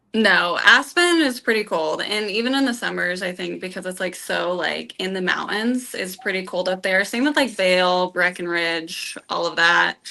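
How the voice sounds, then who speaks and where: Someone with an American accent speaks at a moderate pace with hardly any pauses over noticeable background noise. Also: woman, medium pitch for a woman, ordinary pitch variation. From Colorado. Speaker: dating show contestant. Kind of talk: casual date conversation.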